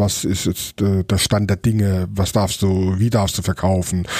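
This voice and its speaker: A man speaks at a fairly slow pace with a dark, mellow tone. The recording is very clean, with a silent background. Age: 40s. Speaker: chef and restaurateur. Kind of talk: casual interview.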